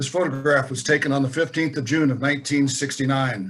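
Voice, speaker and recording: A man at a very fast pace, somewhat breathy, with fairly even intonation and an American accent. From Colorado. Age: 70s. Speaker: war veteran. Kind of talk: lecture.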